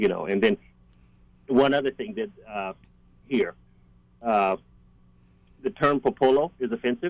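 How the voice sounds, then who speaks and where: A man with an American accent at medium pitch, with very wide pitch swings, a moderate pace, long, frequent pauses, and a dry, close sound with no echo. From US South. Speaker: police officer. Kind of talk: radio roundtable discussion.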